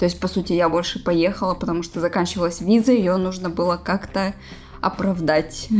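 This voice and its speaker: A woman speaks at a fairly low pitch and a moderate pace. Her intonation is fairly even, and there is noticeable background noise. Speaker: host's girlfriend. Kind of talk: casual chat. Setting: bedroom at night, lights off. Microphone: laptop mic placed on a bed.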